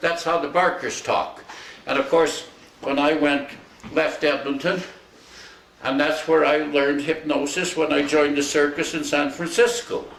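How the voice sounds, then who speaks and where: A man with a Canadian accent speaks at a fairly high pitch and fairly even intonation, leaving long, frequent pauses. Audible room echo and noticeable background noise are present. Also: moderate pace. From Alberta, Canada. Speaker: retired hypnotist. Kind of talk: casual storytelling.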